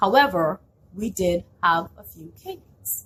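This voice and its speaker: A somewhat breathy woman with a slight non-native accent and ordinary pitch variation. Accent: slight foreign. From outside Canada (immigrant). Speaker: small business owner. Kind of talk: vlog storytelling with business tips.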